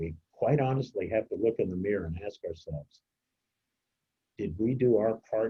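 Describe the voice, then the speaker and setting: This man's somewhat breathy voice moves at a moderate pace with ordinary pitch variation. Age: 70s. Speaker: community organizer. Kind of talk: presentation Q&A.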